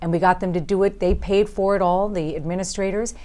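Talking at a very fast pace, a woman with an American accent has a dark, mellow tone, medium pitch and ordinary pitch variation. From Long Island, New York; New York. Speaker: district attorney and congressional candidate; district attorney, candidate. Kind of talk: interview. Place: studio. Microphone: lapel.

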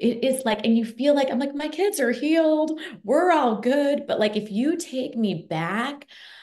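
Animated and enthusiastic, a woman speaks at a fairly slow pace. Her voice is somewhat breathy. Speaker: parent of chronically ill children, guest co-host. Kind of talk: interview. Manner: animated, enthusiastic.

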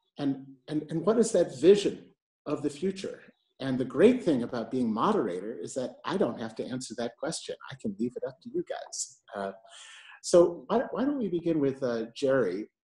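A man with an American accent speaks at a moderate pace in a dark, mellow tone that is somewhat breathy. His pitch swings very widely and his loudness shifts a lot. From New York. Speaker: moderator, arts and health lead at a health agency. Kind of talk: moderated panel discussion. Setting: video call from home. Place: home room. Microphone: earbuds.

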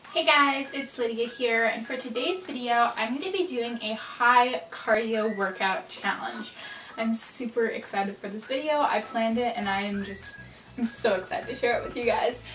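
Light background noise and audible room echo accompany a woman who speaks at a moderate pace in a high pitch. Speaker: fitness vlogger. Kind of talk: casual vlog chat explaining a workout. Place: home room. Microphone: camera far.

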